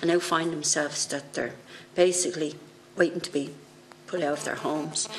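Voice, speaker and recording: Over light background noise, someone with an Irish accent talks at a fairly quick pace in a flat monotone. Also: woman. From Ireland. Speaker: politician. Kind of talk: committee hearing. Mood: earnest, sympathetic. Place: meeting room. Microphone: podium.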